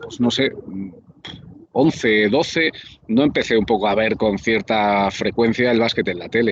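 Noticeable background noise behind a man talking with ordinary pitch variation. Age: 30s. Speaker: basketball commentator. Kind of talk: casual interview. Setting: cafe.

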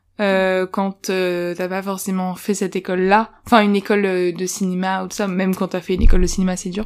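A woman talks at a moderate pace and medium pitch, with hardly any pauses. Her intonation is monotone and flat, and the recording is very clean with a silent background. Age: 20s. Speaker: podcast co-host. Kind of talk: interview. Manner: hesitant.

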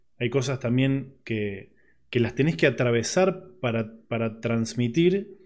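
A man talks at a very slow pace with a Rioplatense accent. His pitch sits in the medium range, and his intonation is lively. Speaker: podcast host. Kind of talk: casual interview chat. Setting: studio.

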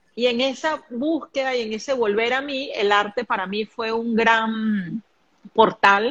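A woman with a plain, everyday voice speaks fairly high in pitch with ordinary variation, the sound dry and close with no echo. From Venezuela, Caracas. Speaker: spiritual medium and life coach. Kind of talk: live stream conversation. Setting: live video stream.

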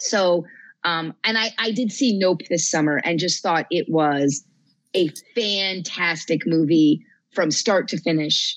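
A woman speaks in a plain, everyday voice with an American accent. Her pitch sits fairly low, and she talks at a fairly slow pace with ordinary pitch variation. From New Jersey. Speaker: librarian and horror author. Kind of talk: casual chat.

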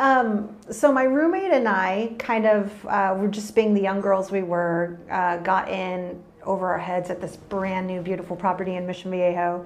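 A woman with a medium pitch speaks at a moderate pace and fairly even intonation, with hardly any pauses. Audible room echo and noticeable background noise fill the recording. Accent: American. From Texas, San Antonio and Austin area. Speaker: property manager. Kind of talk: casual interview.

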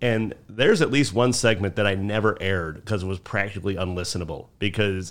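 A man with a Chicago accent talks fairly quickly at a fairly low pitch. His pitch varies in an ordinary way on a very clean recording with a silent background. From Chicago South Side. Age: 40s. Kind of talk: casual chat.

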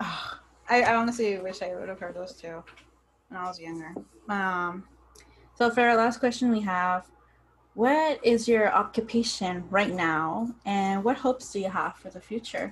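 At a moderate pace, a woman speaks at a medium pitch, somewhat breathy, with ordinary pitch variation. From Southern California (San Diego). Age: 20s. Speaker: podcast host. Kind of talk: casual chat.

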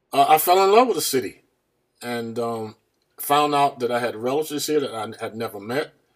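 With an American accent, a man speaks in an ordinary speaking voice at a medium pitch, a fairly quick pace and ordinary pitch variation. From US South (small town called Farmville). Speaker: education advocate and board of education member. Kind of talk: casual interview.

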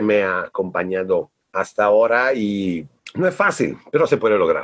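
With an Italian accent, a man is talking. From northern Italy (Bolzano). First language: Italian (speaking Spanish). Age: 40s. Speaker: creative director. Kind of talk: casual interview.

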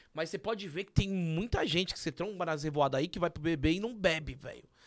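Rapid-fire delivery and normal pitch movement, recorded very cleanly against total silence. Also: man. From São Paulo area. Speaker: podcast co-host. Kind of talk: casual chat.

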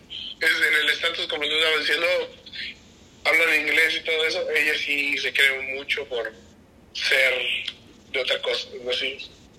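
A man talks at a fairly slow pace, pausing often and at length. Background noise is noticeable. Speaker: friend. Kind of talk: casual chat. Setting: video call.

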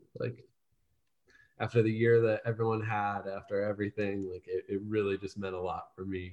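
A man speaks at a moderate pace in an unremarkable speaking voice, his pitch fairly low. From northeastern Ohio (Salem). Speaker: soccer fan and match producer. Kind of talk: casual chat.

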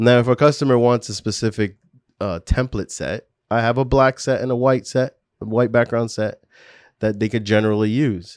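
At a moderate pace, a man speaks in an unremarkable speaking voice, medium in pitch with fairly even intonation, recorded dry and close with no echo. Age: 40s. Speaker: entrepreneur and studio owner. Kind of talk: casual interview.

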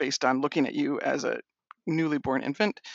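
A man with an American accent speaks at a moderate pace in a plain, everyday voice, fairly high in pitch. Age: 40s. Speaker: transgender faith writer and website founder. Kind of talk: casual interview conversation.

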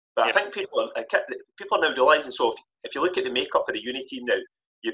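Spoken at a very fast pace with a Scottish accent, the voice sounds dry and close, with no echo. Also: man. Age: 50s. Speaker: football coach. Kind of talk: casual chat.

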